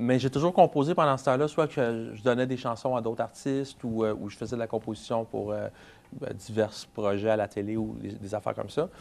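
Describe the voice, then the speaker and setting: His loudness swings widely while the man's medium pitch moves with ordinary variation. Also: fairly quick pace. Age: 30s. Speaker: singer-songwriter. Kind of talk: interview. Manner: halting.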